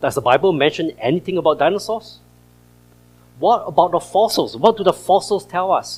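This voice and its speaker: Speaking with an American accent, a man talks at a fairly quick pace in a high, animated voice with lively intonation. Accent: Singaporean, noticeable to US audience. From Singapore. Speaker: creation science speaker. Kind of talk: presentation to church audience.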